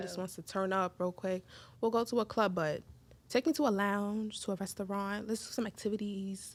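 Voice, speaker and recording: Her voice is an ordinary, medium-pitched woman's voice—a plain, everyday voice—with ordinary pitch variation, a moderate pace and an American accent. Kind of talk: casual podcast conversation.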